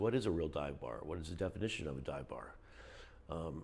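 A man's voice swings very widely in pitch and carries vocal fry, delivered at a moderate pace. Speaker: local resident vlogger. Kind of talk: casual vlog chat. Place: home room. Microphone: phone near.

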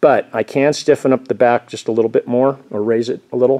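A man's dark, mellow tone, with fairly even intonation and a quiet background. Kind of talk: casual vlog chat. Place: workshop. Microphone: phone near.

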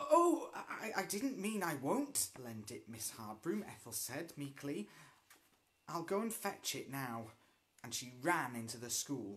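The voice moves at a fairly slow pace, with very wide pitch swings and big swings in loudness. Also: man. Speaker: storyteller. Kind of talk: story read-aloud with character voices. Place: home room. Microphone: phone near.

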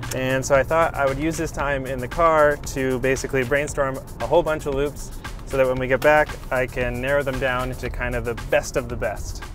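Fairly quick speech from a man over light background noise. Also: dry sound with no echo. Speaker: musician vlogger. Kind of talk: casual vlog chat. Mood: upbeat, relaxed. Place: car.

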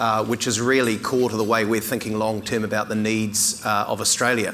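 At a fairly quick pace, a man speaks in a monotone, flat intonation with light background noise. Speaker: keynote speaker. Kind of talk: keynote speech. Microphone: lapel.

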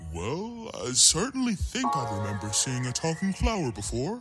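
A man uses a put-on character voice at a fairly high pitch, with very wide pitch swings and a moderate pace. Clear music plays in the background. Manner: gentle, warm.

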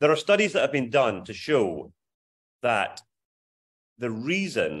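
A man with an Aberdeen accent, lively intonation and vocal fry. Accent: Scottish (Aberdeen). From Scotland, Aberdeen. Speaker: charity fundraising consultant. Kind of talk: video call advice talk. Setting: video call.

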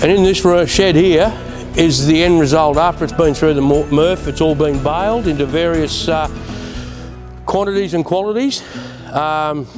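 A man speaks at a moderate pace with ordinary pitch variation, leaving long, frequent pauses over clear music in the background. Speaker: council services supervisor guide. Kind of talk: tour explanation. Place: factory.

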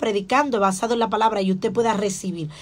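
Very fast and animated, a woman talks at a fairly high pitch. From Dominican Republic. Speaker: pastor; pastor, preacher. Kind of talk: radio sermon. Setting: radio studio. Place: studio. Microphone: studio mic.

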